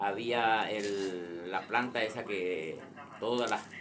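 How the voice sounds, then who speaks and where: A man speaks with fairly even intonation. Audible room echo and noticeable background noise are present. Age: 60s. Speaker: grandfather telling a local legend. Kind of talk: personal storytelling. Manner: halting.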